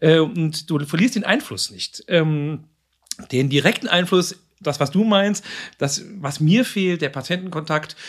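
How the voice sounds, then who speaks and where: A man talks at a very slow pace with long, frequent pauses. His pitch is high, with ordinary pitch variation. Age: 50s. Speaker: psychiatric nursing director. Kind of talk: casual chat. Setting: meeting room in a clinic.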